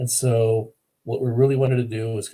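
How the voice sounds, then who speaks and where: A somewhat breathy voice, dark and mellow in tone, with fairly even intonation. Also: man. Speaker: e-learning developer presenting a case study. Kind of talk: webinar presentation. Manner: fast; hesitant, many fillers.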